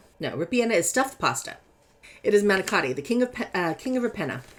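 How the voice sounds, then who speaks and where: A woman with an American accent speaks with very wide pitch swings over noticeable background noise. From California. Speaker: tarot reader and content creator. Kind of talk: tarot deck review. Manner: animated.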